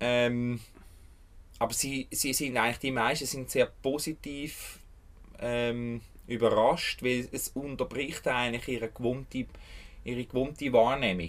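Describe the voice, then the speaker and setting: A man with a Swiss accent speaks with fairly even intonation and long, frequent pauses on a very clean recording with a silent background. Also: medium pitch for a man, fairly slow pace. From Switzerland, Bernese Jura. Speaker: urban fallow land caretaker, permaculture gardener. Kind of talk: interview. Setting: outdoors on urban fallow land.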